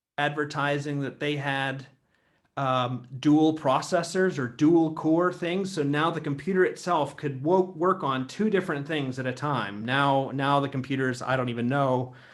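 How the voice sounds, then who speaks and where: Here is a man with an American accent and an unremarkable speaking voice. His pitch is fairly high for a man. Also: ordinary pitch variation, moderate pace. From Ohio, USA. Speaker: theologian, institute founder. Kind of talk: lecture talk. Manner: casual, conversational.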